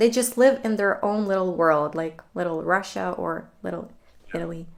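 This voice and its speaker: Speaking in a fairly low voice, a woman keeps a moderate pace with ordinary pitch variation. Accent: Ukrainian. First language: Ukrainian. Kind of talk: casual chat.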